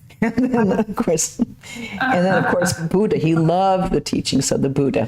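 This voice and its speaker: A woman with a normal speaking voice talks at a fairly slow pace, her intonation lively. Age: 60s. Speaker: nun and lecturer. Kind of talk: lecture Q&A and announcements. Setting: temple.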